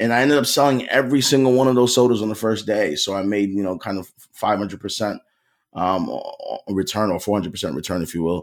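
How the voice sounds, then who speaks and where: A man with a fairly low pitch talks at a very fast pace in a Philadelphia accent, with ordinary pitch variation on a very clean recording with a silent background. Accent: Philadelphia American. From US Northeast, Philadelphia. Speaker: cybersecurity sales consultant. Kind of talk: podcast interview.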